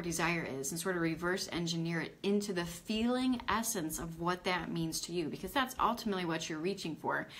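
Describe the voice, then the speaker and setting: A woman's medium-pitched voice, fairly quick, with ordinary pitch variation. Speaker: spiritual coach. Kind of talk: live online training. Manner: fast.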